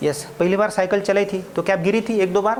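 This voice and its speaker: Someone speaks at a moderate pace in a Marathi accent. There is noticeable noise in the background. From Maharashtra, India. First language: Marathi (speaking Hindi). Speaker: spoken English teacher. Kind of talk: classroom lecture. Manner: animated.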